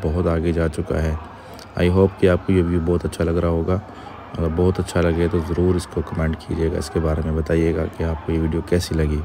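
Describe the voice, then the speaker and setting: A man talks in a monotone, flat way over light background noise. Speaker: travel vlogger. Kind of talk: casual vlog chat. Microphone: phone near.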